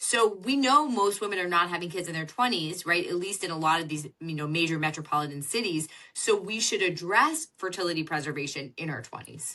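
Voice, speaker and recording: A loud woman with a fairly low pitch, a bright, sharp tone and lively intonation, talking at a fairly quick pace with hardly any pauses. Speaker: fertility doctor and author. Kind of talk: podcast interview.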